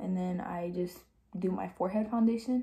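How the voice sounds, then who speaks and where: A woman speaks at a moderate pace. Her tone is dark and mellow and somewhat breathy. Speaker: beauty vlogger. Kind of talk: tutorial. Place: home room. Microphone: phone near.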